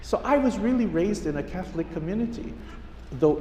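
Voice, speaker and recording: The speaker has a Hawaiian accent, with noticeable background noise and audible room echo. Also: man. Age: 70s. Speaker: pastor. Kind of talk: sermon.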